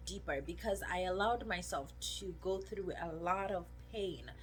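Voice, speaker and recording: The woman talks at a fairly slow pace. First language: not English. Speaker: video blogger. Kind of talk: personal testimony. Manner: emotional, conversational.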